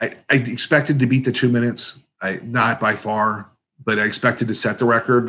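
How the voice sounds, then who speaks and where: A man with an American accent speaks at medium pitch and a fairly quick pace, his bright, sharp tone carrying fairly even intonation. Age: 50s. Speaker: competitive eater and YouTuber. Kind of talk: live Q&A stream. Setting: live stream. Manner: mumbling, words blended together; casual, halting with fillers.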